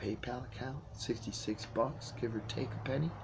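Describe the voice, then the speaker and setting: Vocal fry runs through a man's speech at a moderate pace. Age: 60s. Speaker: video blogger. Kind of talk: rant. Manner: animated.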